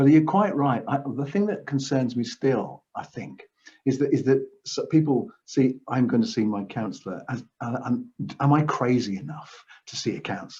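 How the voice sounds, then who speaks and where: A man with a somewhat breathy voice and medium pitch talks at a moderate pace with lively intonation. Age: 60s. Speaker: counsellor. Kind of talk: interview answers.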